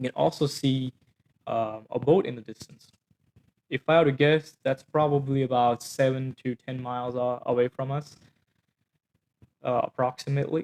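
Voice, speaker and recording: With a non-native accent, a man speaks at medium pitch and a moderate pace, leaving long, frequent pauses. His intonation is fairly even, and the sound is dry and close with no echo. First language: not English. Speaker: company founder and engineer. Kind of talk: product demo. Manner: halting, many fillers.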